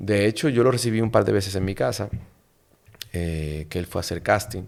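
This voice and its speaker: This man has a fairly low pitch and ordinary pitch variation. He speaks at a moderate pace with a Dominican accent. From Dominican Republic (La Vega). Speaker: diplomat and actor. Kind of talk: casual interview chat. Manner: animated.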